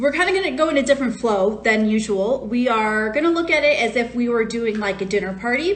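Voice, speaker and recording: With an American accent, a woman talks in a fairly high voice with lively intonation and very even loudness over noticeable background noise. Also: fairly quick pace. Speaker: wine educator. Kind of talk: live-stream wine tasting talk. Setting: Instagram live stream. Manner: casual, chatty with fillers.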